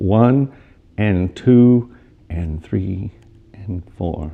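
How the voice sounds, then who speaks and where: Dark, mellow male tone and lively intonation. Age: 60s. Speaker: photographer. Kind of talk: interview answer. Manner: hesitant, many fillers.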